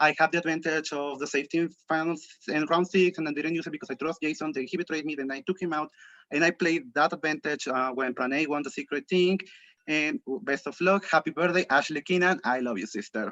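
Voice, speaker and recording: A man speaks at a fairly quick pace with a fairly high pitch, a bright, sharp tone and ordinary pitch variation, recorded in a dry, close sound with no echo. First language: not English. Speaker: game contestant. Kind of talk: jury speech. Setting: video call. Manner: halting.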